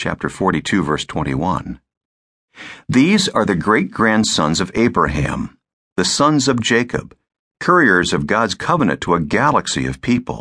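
Over a quiet background, a man talks at a moderate pace in a dramatic tone with vocal fry and very wide pitch swings. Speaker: audiobook narrator. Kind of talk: audiobook narration. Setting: studio. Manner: dramatic, vivid storytelling with pauses and emphasis; formal, measured, earnest pacing.

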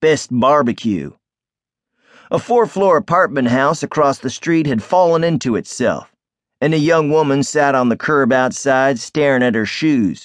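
A man talks in a normal speaking voice at a moderate pace. His pitch is medium, with ordinary pitch variation. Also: quiet background. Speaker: audiobook narrator. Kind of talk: first-person noir audiobook narration, wry and world-weary. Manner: measured, sardonic storytelling cadence; gruff character voices in dialogue.

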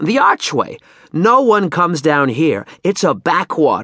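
In a put-on character voice, the speaker goes at a slow pace with very wide pitch swings, a fairly bright tone and a slightly husky edge. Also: man, fairly high pitch for a man.

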